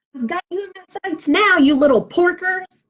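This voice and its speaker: Putting on a character voice, a woman cackles at an extremely high pitch. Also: moderate pace. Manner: cackling, menacing.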